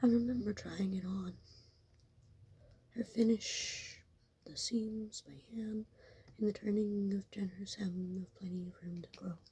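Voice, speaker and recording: Soft-spoken and fairly slow, the speech is broken by long, frequent pauses. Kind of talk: ASMR story reading. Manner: soft murmur.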